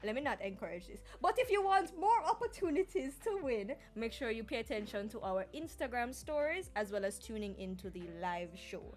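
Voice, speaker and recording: Her tone animated, a woman speaks at a fairly quick pace with big swings in loudness. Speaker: podcast host. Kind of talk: live podcast chat.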